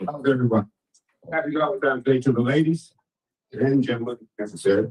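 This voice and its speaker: A man speaks very fast in a somewhat breathy voice, his pitch varying in an ordinary way. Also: medium pitch for a man. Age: 70s. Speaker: audience member. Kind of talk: audience question.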